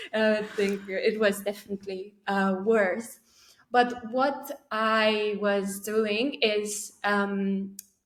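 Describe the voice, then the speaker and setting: In a Romanian accent, a woman at medium pitch talks at a very slow pace with monotone, flat intonation. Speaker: poet. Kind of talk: interview conversation. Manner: halting.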